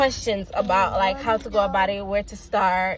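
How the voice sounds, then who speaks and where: Noticeable background noise sits behind a woman speaking with a Jamaican accent. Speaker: parent vlogger. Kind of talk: casual vlog talk. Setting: in a car. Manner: halting, with many fillers.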